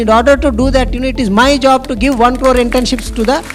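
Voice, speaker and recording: Over noticeable background noise and audible room echo, a man with an extremely high pitch speaks in an animated tone. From India, Andhra Pradesh (Visakhapatnam). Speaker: government education official. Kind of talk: conference talk with live demo.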